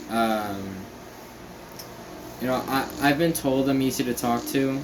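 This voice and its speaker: A man of medium pitch at a fairly slow pace, with fairly even intonation and very even loudness, amid noticeable background noise and audible room echo. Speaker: vlogger. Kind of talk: casual vlog monologue. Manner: halting, many fillers.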